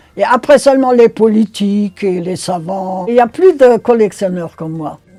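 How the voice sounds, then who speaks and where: A woman talks while music plays in the background. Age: 80s+. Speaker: autograph collector. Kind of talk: interview answer.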